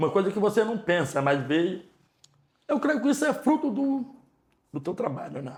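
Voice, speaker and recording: The man's somewhat breathy voice moves at a moderate pace, its pitch varying in an ordinary way. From Ceará, Brazilian Northeast. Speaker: store manager. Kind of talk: interview, life story. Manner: casual, animated.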